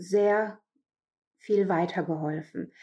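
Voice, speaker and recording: A woman talks with ordinary pitch variation. The recording is very clean, the background silent. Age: 40s. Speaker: coaching client giving testimonial. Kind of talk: testimony. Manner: halting, many fillers.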